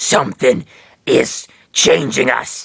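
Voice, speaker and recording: Putting on a character voice, a man makes it sound raspy. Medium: read story.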